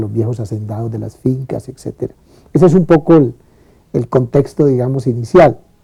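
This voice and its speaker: With music in the background, a man talks at a moderate pace and a medium pitch. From Colombia, Valle del Cauca (Buga). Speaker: lawyer and professor. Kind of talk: testimony. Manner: halting.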